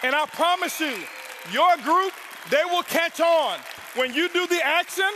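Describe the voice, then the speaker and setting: Amid crowd noise in the background, a man speaks with a raised, projected voice at an extremely high pitch and an animated tone. He moves at a fairly slow pace with ordinary pitch variation and long, frequent pauses. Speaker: network marketing leader. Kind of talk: motivational speech. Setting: stage with audience. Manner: loud.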